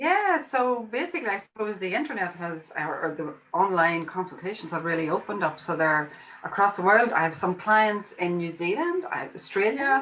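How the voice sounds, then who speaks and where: With an Irish accent, a woman speaks at a moderate pace and medium pitch, her intonation lively. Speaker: homeopath. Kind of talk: online summit interview.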